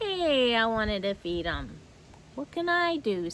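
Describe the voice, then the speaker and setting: A woman's put-on character voice, fairly high in pitch with very wide pitch swings, at a fairly slow pace over clear background noise. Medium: read story. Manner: excitable, eager.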